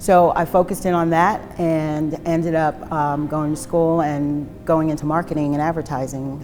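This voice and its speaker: Against noticeable background noise, a woman with an American accent speaks at a moderate pace in a very deep, low pitch with flat, monotone intonation. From New Jersey and New York City. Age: 50s. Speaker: recovering addict sharing her story. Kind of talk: testimony. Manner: many fillers (um, uh).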